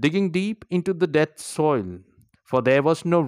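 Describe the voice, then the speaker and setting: In an Indian accent, a man speaks at a fairly slow pace with a warm, dramatic tone, in a very clean recording with a silent background and dry, close sound with no echo. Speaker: poet and podcaster. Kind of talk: poetry performance, read aloud with an intro and outro. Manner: slow, measured, dramatic and emotive delivery; earnest, warm, encouraging.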